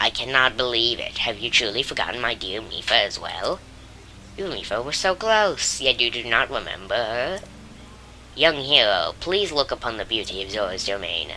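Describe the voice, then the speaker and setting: The speaker uses a put-on character voice at a low-to-middle pitch and a moderate pace. Background noise is clearly audible. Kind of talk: regal, formal speech. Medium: game stream. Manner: grand, warm, formal.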